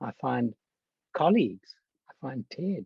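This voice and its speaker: A man speaks slowly with a South African accent, in a dark, mellow tone that is somewhat breathy. The sound is dry and close, with no echo. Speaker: church health ministries leader and physician. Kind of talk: conference talk.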